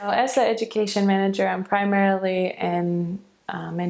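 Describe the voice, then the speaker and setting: A woman speaks with a Midwestern accent at medium pitch. Her intonation is monotone and flat, and her pace is moderate. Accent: American Midwest. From Michigan, USA. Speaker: optometrist and education manager. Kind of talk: interview answer.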